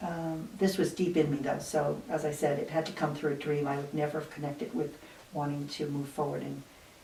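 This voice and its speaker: A woman with an American accent talks at a moderate pace, her very deep, low pitch showing ordinary variation. Noticeable background noise and audible room echo fill the recording. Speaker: retired nurse-midwife. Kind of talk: interview. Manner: halting.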